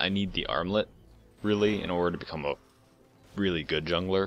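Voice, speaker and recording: Over music in the background, a man mumbles at a very deep, low pitch with ordinary pitch variation. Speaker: gaming commentator. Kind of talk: post-game commentary. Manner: mumbling; hesitant, many fillers.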